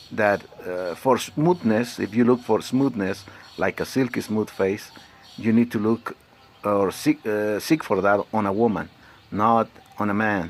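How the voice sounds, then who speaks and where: Fairly slow speech with long, frequent pauses over noticeable background noise. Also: man, fairly low pitch for a man, ordinary pitch variation. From Mexico. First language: Spanish. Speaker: vlogger. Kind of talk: personal vlog monologue. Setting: alone, self-recorded. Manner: halting, many fillers.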